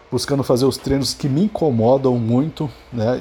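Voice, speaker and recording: A man with a Brazilian accent speaks in a dark, mellow tone at a medium pitch, with fairly even intonation. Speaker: podcaster. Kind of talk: unscripted solo monologue. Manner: halting, many filler repetitions.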